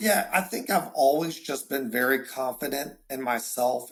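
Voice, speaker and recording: Medium-pitched man with a strong Southern accent, animated in tone, with ordinary pitch variation. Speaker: insurance agency owner. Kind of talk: casual interview. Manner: animated, repeats words often.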